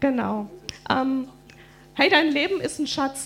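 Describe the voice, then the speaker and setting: Over music in the background, a woman talks at a moderate pace in a high voice with lively intonation. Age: 40s. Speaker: preacher's wife and co-speaker. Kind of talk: church address.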